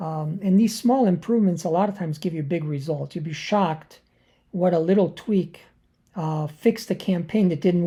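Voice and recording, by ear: Raspy, with a slightly husky edge and a dark, mellow tone, a woman speaks at fairly low pitch with ordinary pitch variation and a fairly slow pace.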